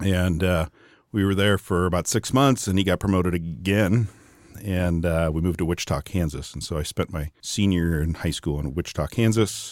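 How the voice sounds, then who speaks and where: Speaking with an American accent at a fairly quick pace, a man with a very deep, low pitch and ordinary pitch variation is heard dry and close with no echo, on a very clean recording with a silent background. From Wisconsin, US Upper Midwest. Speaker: business executive. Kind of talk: interview conversation. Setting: in person, Atlanta.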